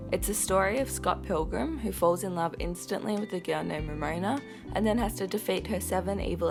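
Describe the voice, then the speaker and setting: The speaker talks at a fairly quick pace, with music playing in the background. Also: woman. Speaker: film reviewer. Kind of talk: casual film review to camera.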